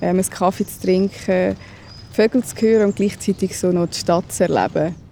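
With noticeable background noise behind her, a woman talks at a moderate pace in a medium pitch and fairly even intonation. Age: 30s. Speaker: stroke survivor. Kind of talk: testimony. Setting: outdoors.

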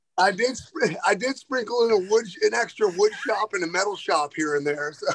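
At a moderate pace, a man with a high pitch talks with lively intonation. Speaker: strength coach. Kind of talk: casual chat.

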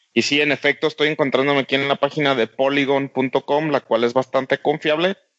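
A man with a Mexican accent speaks fairly quickly in a fairly high voice, with hardly any pauses. His intonation is monotone and flat, and his loudness stays very even. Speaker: video game podcast co-host. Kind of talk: casual chat.

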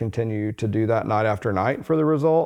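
A man with an unremarkable speaking voice talks at a medium pitch and moderate pace. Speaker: doctor and med spa co-owner. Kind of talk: casual chat.

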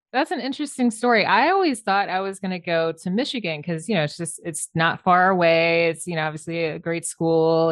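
A woman's fairly low-pitched voice, an ordinary speaking voice, at a moderate pace. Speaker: architect. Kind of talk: interview.

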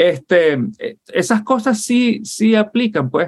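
A man speaks with very wide swings in pitch. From Venezuela (Puerto La Cruz, Barcelona). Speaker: software engineer and Marine veteran. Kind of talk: interview conversation.

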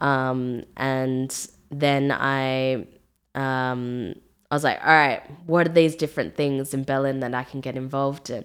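With an Australian accent, the speaker talks in a fairly even intonation. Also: woman, very deep, low pitch for a woman, fairly slow pace. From Australia, Melbourne. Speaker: music producer and singer. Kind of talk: casual interview.

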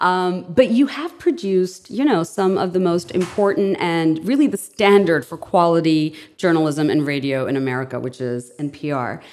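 A woman speaks at a moderate pace with a fairly low pitch and lively intonation, hardly pausing at all. Noticeable background noise runs under her voice. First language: non-English. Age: 40s. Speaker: podcast host. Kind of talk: casual interview conversation. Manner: animated.

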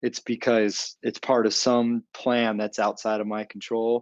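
A man with an American accent, medium pitch and monotone, flat intonation, at a fairly slow pace in a dry, close sound with no echo. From Arizona. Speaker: former lawyer, business coach. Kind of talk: interview testimony.

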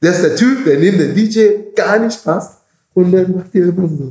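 With a dark, mellow tone and a high pitch, a man speaks very slowly. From Caribbean. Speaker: bouncer and security business owner. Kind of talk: interview conversation. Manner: halting.

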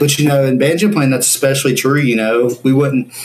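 Background noise is noticeable. Over it, a man talks at a fairly quick pace. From US South, Ashe County, North Carolina. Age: 20s. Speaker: banjo player. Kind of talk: interview.

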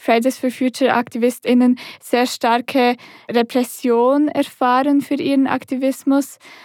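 In a very clean recording with a silent background and a dry, close sound with no echo, a woman speaks in a high pitch at a fairly slow pace with monotone, flat intonation. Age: young. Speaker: climate activist and law student. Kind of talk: interview conversation.

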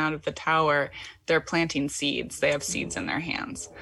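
Using an American accent, a woman talks in a very deep, low pitch at a moderate pace. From US Midwest, Michigan. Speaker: poet and writer. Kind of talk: casual interview chat.

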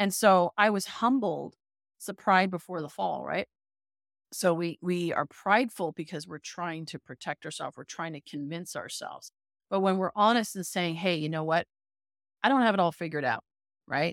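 An unremarkable speaking voice with a Canadian accent moves at a moderate pace, with ordinary pitch variation and big swings in loudness, recorded dry and close with no echo on a very clean, silent background. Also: woman, fairly low pitch for a woman. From Canada, Toronto. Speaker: business coach. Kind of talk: interview.

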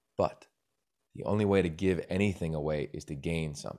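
Vocal fry colors an American accent in a very clean recording with a silent background. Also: man. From Pennsylvania, small town. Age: 40s. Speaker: sports broadcaster and storyteller. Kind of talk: casual interview.

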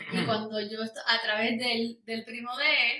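A woman is speaking. Her voice is high in pitch. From Puerto Rico. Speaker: worship singer. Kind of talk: casual interview.

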